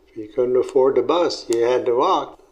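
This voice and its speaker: A man talks against noticeable background noise. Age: 80s+. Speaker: family elder interviewee. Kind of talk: oral history interview. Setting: at home. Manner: halting.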